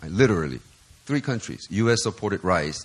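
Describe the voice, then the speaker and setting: Vocal fry runs through this man's speech. His pitch swings very wide. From South Korea, Seoul; moved to Los Angeles at 12. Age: 50s. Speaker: pastor. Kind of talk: sermon. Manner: animated.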